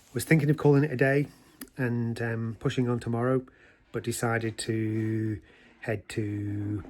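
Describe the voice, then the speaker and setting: This man's voice is somewhat breathy and medium in pitch. His pitch varies in an ordinary way. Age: 60s. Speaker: long-distance walker vlogger. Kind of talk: casual video diary. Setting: outdoors.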